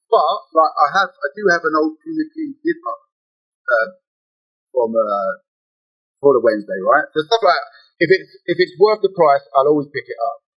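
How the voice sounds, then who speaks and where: With music playing in the background, a man with an English accent talks at a moderate pace, leaving long, frequent pauses. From London, England. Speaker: shirt seller, shop owner. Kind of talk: casual podcast chat.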